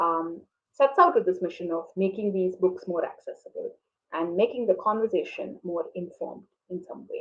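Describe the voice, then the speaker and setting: Talking at a moderate pace in a Tamil accent, a woman speaks with big swings in loudness. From urban India, Tamil. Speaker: interviewer, activist. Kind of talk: online conversation interview. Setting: online video talk.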